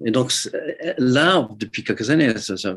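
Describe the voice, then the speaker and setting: A man speaks with an English accent and ordinary pitch variation. The background is quiet. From US Midwest, Detroit. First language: English (speaking French). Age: 70s. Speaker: ceramic artist. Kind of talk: interview. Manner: halting, many repetitions.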